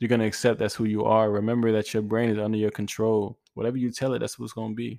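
Over a quiet background, a man with a dark, mellow tone speaks at a medium pitch. He goes at a very fast pace with hardly any pauses, in a monotone with flat intonation. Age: 20s. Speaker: podcast host. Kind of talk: motivational monologue. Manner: casual, conversational with fillers.

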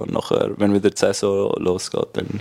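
Male speech against noticeable background noise. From Switzerland, Graubünden (Chur). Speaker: professional ice hockey player. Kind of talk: casual chat.

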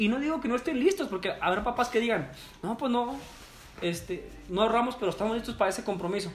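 At a very fast pace, a man with a Mexican accent speaks at an extremely high pitch with lively intonation. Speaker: teacher. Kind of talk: casual chat.

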